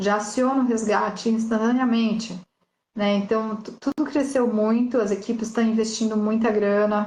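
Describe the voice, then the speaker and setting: Somewhat breathy and monotone, a woman talks at a moderate pace and a fairly high pitch with flat intonation. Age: 40s. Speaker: motorcycle rally racer. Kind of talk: casual interview chat.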